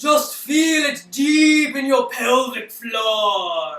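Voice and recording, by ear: A man shouts in a put-on character voice at an extremely high pitch. He speaks at a very slow pace, with a slight echo.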